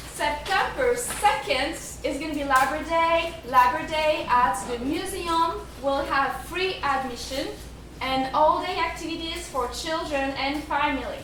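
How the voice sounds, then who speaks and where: A woman with a French accent speaks at a high pitch and a fairly slow pace, with ordinary pitch variation. Audible room echo and noticeable background noise are present. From France. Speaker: museum curator. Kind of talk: event announcements to an audience.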